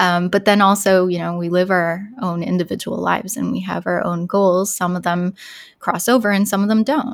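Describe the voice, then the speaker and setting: A woman with an ordinary speaking voice talks at a moderate pace and medium pitch with fairly even intonation. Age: 30s. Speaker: beauty content creator. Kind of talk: interview.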